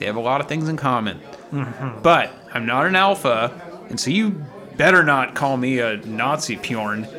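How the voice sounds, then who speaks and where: A man's medium-pitched voice with an American accent and lively intonation, over music in the background. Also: moderate pace. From Los Angeles. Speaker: podcast co-host. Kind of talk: casual comedic banter. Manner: jokey, animated.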